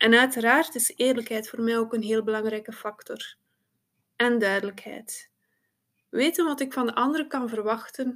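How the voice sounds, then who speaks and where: A woman talks in a normal speaking voice with a fairly high pitch and ordinary pitch variation. Her pace is moderate, and the recording is very clean with a silent background. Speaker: psychosomatic therapist. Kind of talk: interview.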